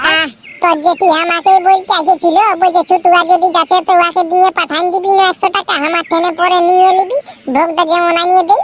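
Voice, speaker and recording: In a cartoonish character voice, a woman speaks at an extremely high pitch with monotone, flat intonation and a dry, close sound with no echo. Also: moderate pace. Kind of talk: comic rural cartoon. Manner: blunt, bossy.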